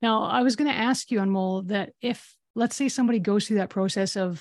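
The background is quiet as a woman speaks at a moderate pace. She has an ordinary speaking voice with ordinary pitch variation. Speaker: podcast co-host. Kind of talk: casual interview chat.

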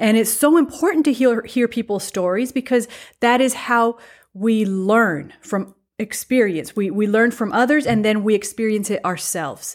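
On a very clean recording with a silent background, a woman with a fairly high pitch talks at a moderate pace with ordinary pitch variation. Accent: Spanish. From Mexico, raised by American missionary parents. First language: Spanish. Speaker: podcast co-host. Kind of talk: personal testimony.

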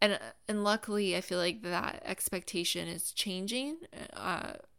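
A woman with an American accent speaks at a medium pitch with vocal fry and fairly even intonation. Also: very clean recording, silent background. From US South, Florida (Gainesville). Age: 30s. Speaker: podcast host. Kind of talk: solo podcast monologue. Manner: casual, conversational with fillers.

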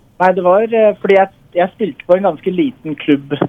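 Fairly quick speech from a man, with noticeable noise behind it. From Norway. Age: 20s. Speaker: semi-professional footballer. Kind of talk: interview. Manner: halting.

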